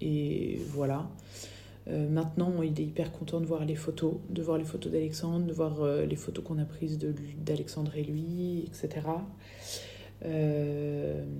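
The speech moves at a very slow pace with audible room echo. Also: woman. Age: 30s. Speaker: bereaved mother. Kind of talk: testimony. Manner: halting.

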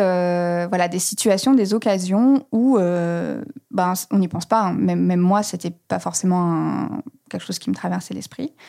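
A woman's dark, mellow tone in a very clean recording with a silent background. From France, Reims. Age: 30s. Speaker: communications manager at an online resale company. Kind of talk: podcast interview. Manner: hesitant, many fillers.

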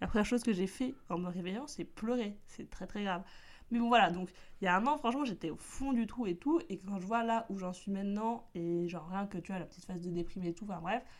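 A woman speaks in an upbeat tone at a fairly quick pace, her pitch medium. The recording is very clean, with a silent background. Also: ordinary pitch variation. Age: 20s. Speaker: podcast host. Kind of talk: casual solo chat. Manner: upbeat-sounding.

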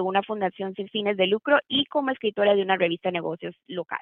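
Here a woman speaks at a fairly quick pace. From Costa Rica. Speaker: lawyer and banker. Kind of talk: interview. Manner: halting, with repetitions and fillers.

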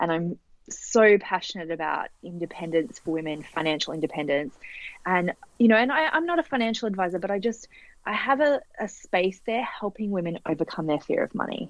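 Lively in intonation, a woman with an Australian accent speaks at a fairly quick pace. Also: medium pitch for a woman. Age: 30s. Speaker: author and business coach. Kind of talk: casual interview chat.

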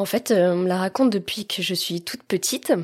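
A woman talks at a fairly slow pace with ordinary pitch variation. Her pitch sits in the medium range. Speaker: guest telling adoption story. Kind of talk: personal testimony. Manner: smiling.

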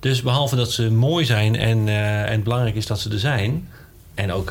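A man speaks with a fairly low pitch. Audible room echo surrounds his voice. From Netherlands. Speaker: scientist. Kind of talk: interview.

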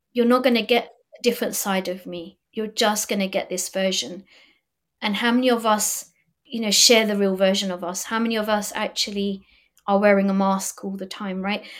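A woman has an unremarkable speaking voice at a medium pitch and a moderate pace, with fairly even intonation. Her loudness swings widely, on a very clean recording with a silent background. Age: 40s. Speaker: motivational speaker and confidence coach. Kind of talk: podcast interview, personal story.

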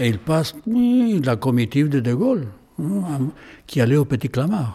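Somewhat breathy and dark, mellow in tone, a man's voice sits fairly high in pitch. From Chile. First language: Spanish (speaking French). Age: 80s+. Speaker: painter. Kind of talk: interview. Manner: halting.

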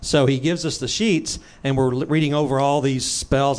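In an American accent, this is an ordinary speaking voice at a moderate pace. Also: man. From Texas. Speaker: music producer. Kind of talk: casual chat.

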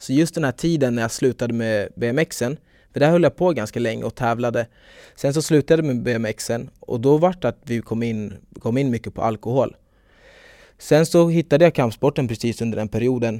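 Delivered at a moderate pace, the voice has a dark, mellow tone in a dry, close sound with no echo on a very clean recording with a silent background. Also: man, medium pitch for a man, ordinary pitch variation. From Stockholm, Sweden. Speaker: taekwondo athlete and club owner. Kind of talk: casual interview.

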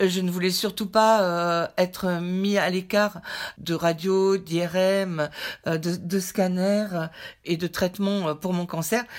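A woman speaks at a very slow pace with flat, monotone intonation. The recording is very clean, with a silent background. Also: medium pitch for a woman. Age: 60s. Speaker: cancer patient. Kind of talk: testimony. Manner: halting.

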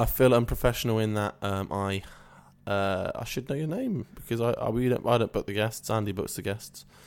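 With a British accent, a man speaks at a fairly quick pace with ordinary pitch variation. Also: medium pitch for a man. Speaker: comedy podcast co-host. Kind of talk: improvised comedy chat.

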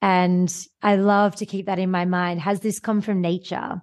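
A woman with an Australian accent talks at a moderate pace in a medium-pitched voice. Her intonation stays monotone and flat over a quiet background. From Australia, Sydney. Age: 30s. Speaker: podcast host. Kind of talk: interview.

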